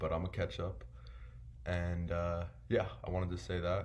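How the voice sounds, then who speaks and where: A man's very deep, low voice at a fairly slow pace, with ordinary pitch variation and audible room echo. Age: 20s. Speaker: online seller vlogger. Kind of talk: casual vlog monologue. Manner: casual, filler-heavy.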